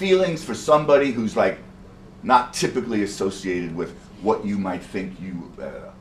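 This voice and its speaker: With an American accent, a man talks at a moderate pace, his pitch swinging very widely and his loudness rising and falling a lot. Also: medium pitch for a man. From New York City (Bronx). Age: 60s. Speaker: poet and storyteller. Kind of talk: performance to audience. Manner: animated.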